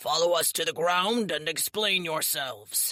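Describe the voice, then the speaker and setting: A man does a put-on character voice that is raspy and gruff. His pitch is high, and his pace is moderate. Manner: commanding.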